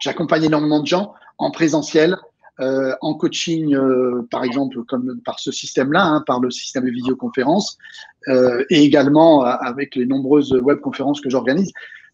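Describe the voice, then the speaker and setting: This man has an unremarkable speaking voice, pitched fairly high. He talks at a moderate pace with ordinary pitch variation. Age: 60s. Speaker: real estate coach and trainer. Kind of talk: interview. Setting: video call.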